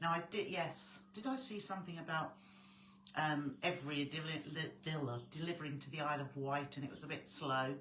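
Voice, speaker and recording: Through audible room echo and noticeable background noise, a woman with an English accent and a very deep, low voice speaks at a fairly quick pace with ordinary pitch variation. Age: 60s. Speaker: sewing tutor. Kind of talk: live stream chat. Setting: live stream. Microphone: quiet volume.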